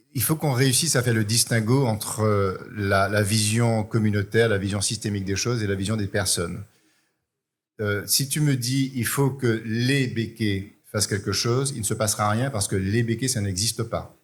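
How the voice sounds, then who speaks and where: The recording is very clean, with a silent background. A man with a medium pitch and a somewhat breathy voice talks at a moderate pace with fairly even intonation. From Martinique. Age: 60s. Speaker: business owner and author. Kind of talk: panel debate. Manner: hesitant, repeats words.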